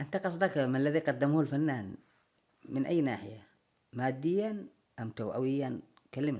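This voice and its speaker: A man speaks at a fairly slow pace with a dark, mellow tone and fairly high pitch. His intonation is lively, broken by long, frequent pauses. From Yemen. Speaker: actor. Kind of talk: interview answer.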